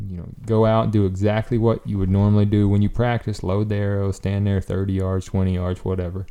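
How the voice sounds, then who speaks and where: In a Southern US accent, a man talks in a fairly low, dark, mellow voice with monotone, flat intonation and hardly any pauses. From US South. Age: 30s. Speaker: professional bowhunter. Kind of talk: casual chat.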